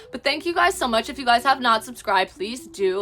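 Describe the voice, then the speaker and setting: A woman's animated tone at a fairly quick pace, with noticeable background noise. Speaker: book content creator. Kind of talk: casual vlog talk. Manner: fast.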